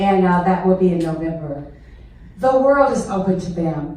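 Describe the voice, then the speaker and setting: Lively intonation against noticeable background noise and audible room echo. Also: woman. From US South, southern Mississippi. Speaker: retired teacher, guest speaker. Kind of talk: public speech. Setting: stage with audience. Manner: animated.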